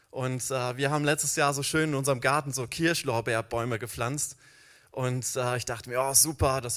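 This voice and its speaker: In a very clean recording with a silent background, a man at medium pitch speaks at a moderate pace with monotone, flat intonation and big swings in loudness. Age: 40s. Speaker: church founder and social worker. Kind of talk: sermon.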